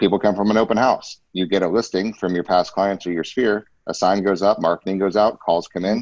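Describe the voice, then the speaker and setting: A man talks at a fairly quick pace with hardly any pauses. He has an unremarkable speaking voice, pitched fairly low. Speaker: real estate podcast host. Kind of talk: podcast interview. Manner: upbeat.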